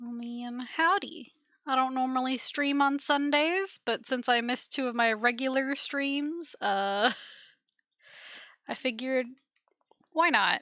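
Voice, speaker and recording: A woman's raised, projected voice, high-pitched with a bright, sharp tone and ordinary pitch variation, fairly slow with long, frequent pauses, on a very clean recording with a silent background. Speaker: game streamer. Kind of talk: live gameplay stream chat. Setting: live stream.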